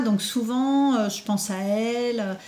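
Somewhat breathy and dark and mellow in tone, a woman's fairly high voice keeps a fairly even intonation. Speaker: meditation teacher. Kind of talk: testimony. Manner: halting.

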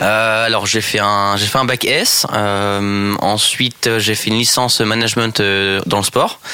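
A man's fairly low, monotone, flat voice at a very slow pace, with very even loudness and noticeable background noise. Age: 20s. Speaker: sporting goods store department manager. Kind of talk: radio interview.

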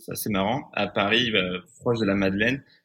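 A man's fairly low voice with a bright, sharp tone, fairly even intonation and moderate pace, on a very clean recording with a silent background. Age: 30s. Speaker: restaurant entrepreneur. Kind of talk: interview.

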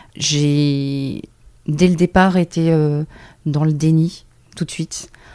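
A woman's voice with a dark, mellow tone. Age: 50s. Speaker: breast cancer patient and patient partner. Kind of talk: testimony. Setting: recorded at a cancer institute.

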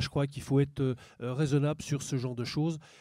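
Over a very clean recording with a silent background, a man with a fairly high pitch and a dark, mellow tone speaks fairly quickly in a monotone, flat intonation. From eastern France. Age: 50s. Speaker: farmer and farm union official. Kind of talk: panel discussion. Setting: public debate with audience.

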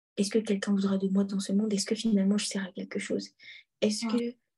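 A woman speaks at a medium pitch in a somewhat breathy voice with a dark, mellow tone. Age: 20s. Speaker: student sharing a faith testimony. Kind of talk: testimony.

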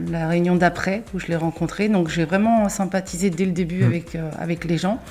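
This is a plain, everyday voice, keeping fairly even intonation and a moderate pace. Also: woman. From Paris region, France. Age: 30s. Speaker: kitchen designer. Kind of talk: interview. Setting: at the guest's home.

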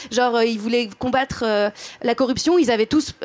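This is a woman speaking. Her pitch is high. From France, Drôme. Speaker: comedian. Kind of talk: live panel discussion.

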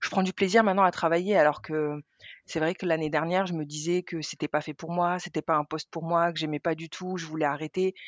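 Fairly low in pitch, a woman speaks at a fairly quick pace in a monotone, flat delivery. The sound is dry and close, with no echo. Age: 30s. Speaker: treasury manager. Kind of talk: testimony. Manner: halting.

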